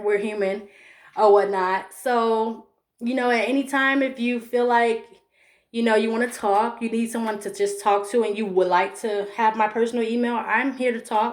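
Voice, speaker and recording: Fairly high in pitch, a woman speaks with an American accent at a moderate pace. Her intonation is fairly even. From Chicago. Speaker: mental health vlogger. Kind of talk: personal vlog monologue. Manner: stumbling over words.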